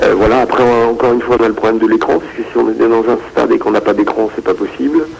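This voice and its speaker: Through noticeable background noise, a man talks at a very fast pace with hardly any pauses. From Brittany, France (Rennes). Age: 40s. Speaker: basketball media founder. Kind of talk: casual radio interview.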